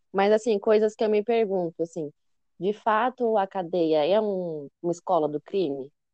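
Using a normal speaking voice, a woman talks at medium pitch and a moderate pace with ordinary pitch variation. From interior of São Paulo state, Brazil. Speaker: master's student researcher. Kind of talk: casual interview chat.

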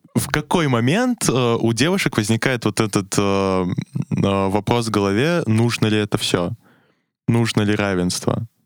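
A man speaks at medium pitch with ordinary pitch variation and very even loudness, in a dry, close sound with no echo. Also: fairly slow pace. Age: young. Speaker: university student. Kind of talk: casual chat. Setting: studio. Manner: hesitant, many fillers.

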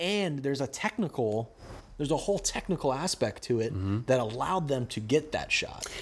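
Very clean recording, silent background, with a man speaking in an American accent. His pitch is fairly high and his pace fairly quick. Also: lively intonation. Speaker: podcast host. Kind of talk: casual chat.

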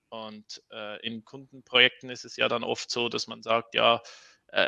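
A man's medium-pitched voice at a moderate pace, bright and sharp in tone, with a dry, close sound, no echo, and a quiet background. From Switzerland. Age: 30s. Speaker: open-source software developer. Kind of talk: casual interview.

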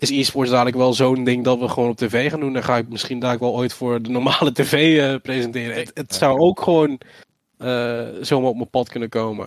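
Monotone and flat, a man's medium-pitched voice moves at a fairly quick pace. The sound is dry and close, with no echo. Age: 20s. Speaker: esports presenter, former YouTuber. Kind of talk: casual interview.

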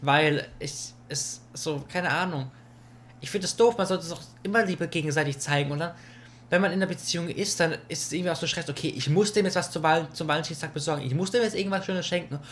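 A man races through his words at a very fast pace, his high voice showing ordinary pitch variation. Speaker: podcast co-host. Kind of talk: casual chat. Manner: loud.

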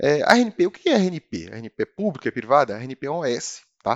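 With very wide swings in pitch, a man talks at a moderate pace. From Brazil, Brasília. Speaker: customer service manager. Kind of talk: interview.

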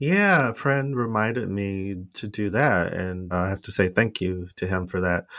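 A man with an ordinary speaking voice and an American accent talks at a fairly slow pace and a fairly low pitch, with ordinary pitch variation and hardly any pauses. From United States. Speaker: podcast co-host. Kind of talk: casual chat.

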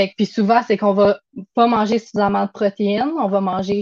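A woman with a Quebec accent speaks at a medium pitch. Her intonation stays fairly even. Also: dry, close sound with no echo. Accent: Québécois French. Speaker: nutritionist. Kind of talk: casual interview.

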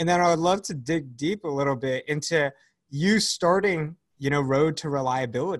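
In a plain, everyday voice, a man talks at a moderate pace with a fairly high pitch and ordinary pitch variation, recorded very cleanly against a silent background. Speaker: podcast host and company founder. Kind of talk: interview.

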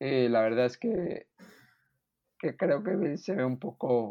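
With lively intonation, a man speaks at a very slow pace in a fairly high pitch. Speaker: NFL podcast co-host. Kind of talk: casual sports chat.

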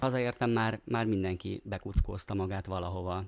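Here is an unremarkable speaking voice from a man. His pitch is fairly low, with ordinary variation. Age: 40s. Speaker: actor and volunteer helper. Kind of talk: casual interview.

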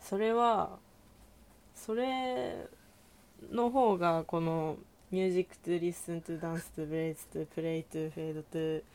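Very slowly, a woman speaks at a fairly low pitch with lively intonation. Her loudness swings widely. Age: 19. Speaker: podcast guest. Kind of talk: casual chat.

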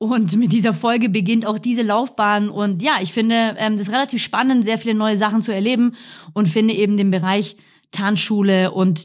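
A woman with medium pitch and a somewhat breathy voice speaks at a moderate pace with ordinary pitch variation. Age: 30s. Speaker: dance teacher, podcast co-host. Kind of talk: casual chat. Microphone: professional podcast microphone.

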